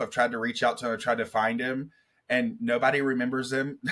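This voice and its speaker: A man with a Southern accent, medium pitch, fairly even intonation, a bright, sharp tone and a fairly quick pace. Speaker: motivational speaker. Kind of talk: interview.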